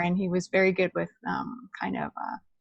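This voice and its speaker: Her pitch is in the medium range for a woman. She speaks at a moderate pace. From Canada. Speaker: astrology teacher. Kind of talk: class discussion. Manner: hesitant.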